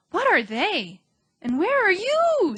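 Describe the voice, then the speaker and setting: A woman does a squeaky put-on character voice, extremely high in pitch and swinging very widely up and down. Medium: read story. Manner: earnest, eager.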